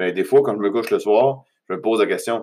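The recording is very clean, with a silent background. A man with a Quebec accent speaks at a fairly low pitch with ordinary pitch variation. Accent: Québécois French. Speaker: podcast host. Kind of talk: motivational monologue. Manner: halting, many fillers.

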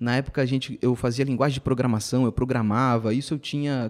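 This man has a plain, everyday voice at a medium pitch, talking at a fairly quick pace on a very clean recording with a silent background. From São Paulo state, Brazil (ABC region, then Campinas). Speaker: entrepreneur in events and marketing. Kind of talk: podcast interview.

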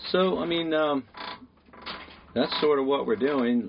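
A man speaks at a moderate speed while background noise is noticeable throughout. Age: 60s. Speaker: podcast host, sailboat charter captain. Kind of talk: casual chat.

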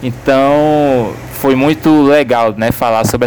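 A man's fairly even intonation comes across with noticeable noise in the background. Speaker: business professor. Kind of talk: casual chat.

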